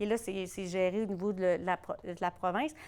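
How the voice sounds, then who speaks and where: A woman with a Quebec accent speaks in a very clean recording with a silent background. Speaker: conference discussant on primary care. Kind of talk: closing remarks at academic round table. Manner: fast.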